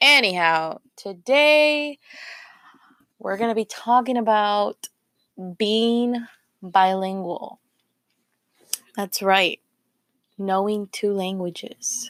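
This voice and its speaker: With a medium pitch and ordinary variation, a woman speaks at a very slow pace with long, frequent pauses, in a dry, close sound with no echo. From US South Texas, Rio Grande Valley. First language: Spanish. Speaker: podcast host. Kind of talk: casual monologue podcast. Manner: casual, with many fillers.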